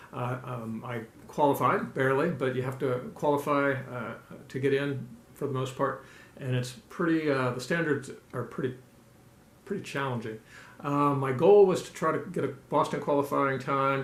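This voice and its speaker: A man speaks, somewhat breathy, at medium pitch with ordinary pitch variation and audible room echo. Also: moderate pace. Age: 60s. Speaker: ultramarathon runner and vlogger. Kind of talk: personal video update. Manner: halting with many fillers.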